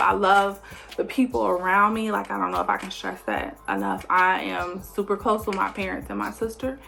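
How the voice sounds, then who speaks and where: A woman's voice with music in the background. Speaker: vlogger. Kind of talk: casual vlog intro.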